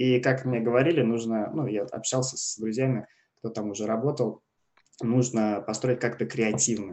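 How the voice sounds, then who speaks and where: With fairly even intonation and an unremarkable speaking voice, a man talks at a moderate pace. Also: medium pitch for a man. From Russia. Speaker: e-commerce platform expert. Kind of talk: casual interview. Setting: remote call from Canada.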